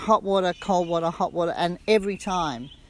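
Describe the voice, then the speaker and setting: A woman with an Australian accent talks at a moderate pace with a fairly low pitch. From Western Australia. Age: 60s. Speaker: retreat guest. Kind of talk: testimony. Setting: on camera. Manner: casual, halting with self-corrections.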